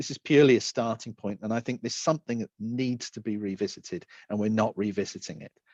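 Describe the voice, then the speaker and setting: Speaking very fast with hardly any pauses, a man with a British accent uses a medium pitch, ordinary pitch variation and big swings in loudness, in a dry, close sound with no echo. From Britain. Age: 50s. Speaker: accessibility and design specialist. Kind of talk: talk presentation. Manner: halting, repetitive fillers.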